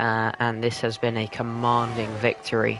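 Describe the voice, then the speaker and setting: A man speaks at a fairly slow pace. Music can be heard in the background. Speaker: sim racing commentator. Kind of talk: live commentary.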